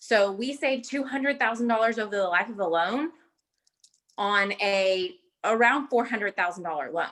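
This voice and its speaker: This is a woman's voice. It is fairly high-pitched with lively intonation. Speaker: real estate agent. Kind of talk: panel discussion. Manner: fast.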